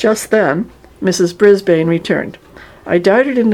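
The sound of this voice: With ordinary pitch variation, an unforced reading voice carries the text.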